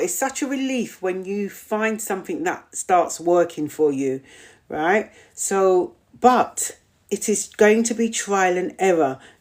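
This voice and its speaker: In a British accent, a woman talks at a fairly slow pace in a warm, animated tone with very wide pitch swings, on a very clean recording with a silent background. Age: 50s. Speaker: community host. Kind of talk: live Q&A chat reading viewer comments.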